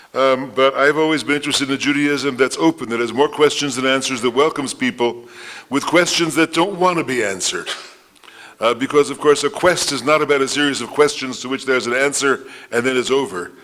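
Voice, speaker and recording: Over noticeable background noise, a man talks very fast with a fairly high pitch and ordinary pitch variation. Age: 70s. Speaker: rabbi and theologian. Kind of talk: lecture.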